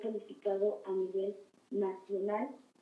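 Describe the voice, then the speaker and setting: A woman speaks at a medium pitch, with audible room echo around her voice. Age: 20s. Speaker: political candidate. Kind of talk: interview. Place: studio.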